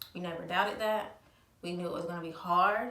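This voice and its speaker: A woman with a fairly low pitch speaks in a strained voice over noticeable background noise. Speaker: mother of a child with cancer. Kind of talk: casual talk to camera. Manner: somewhat monotone, restrained.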